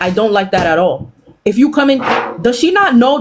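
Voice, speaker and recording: The speaker has an American accent. Background noise can be clearly heard. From US, after early childhood in Haiti. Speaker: live-stream panelist. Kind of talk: casual chat. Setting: live stream panel. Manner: animated.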